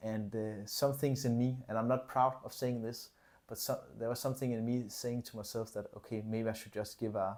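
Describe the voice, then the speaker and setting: On a very clean recording with a silent background, a man with a non-native accent speaks at a moderate pace in a medium pitch with fairly even intonation. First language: not English. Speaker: fitness coach and business vlogger. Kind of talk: casual vlog monologue. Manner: hesitant, many fillers and repetitions.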